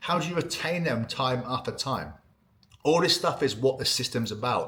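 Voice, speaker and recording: Bright and sharp, a man's voice sits at medium pitch with ordinary variation. His tone is animated. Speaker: ecommerce email marketing consultant. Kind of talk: tutorial. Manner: fast.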